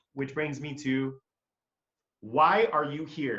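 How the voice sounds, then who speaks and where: This man speaks at a fairly high pitch. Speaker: business coach. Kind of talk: webinar presentation. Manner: fast when excited; animated.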